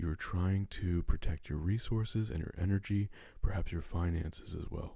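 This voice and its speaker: A man speaks at a fairly quick pace in a dark, mellow, somewhat breathy tone with fairly even intonation. The recording is very clean, with a silent background. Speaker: tarot reader. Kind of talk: tarot card reading.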